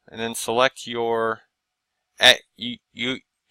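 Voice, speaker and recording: A man's medium-pitched voice with a bright, sharp tone, dry and close with no echo, in a very clean recording against a silent background. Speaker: CAD instructor. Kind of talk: tutorial. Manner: slow.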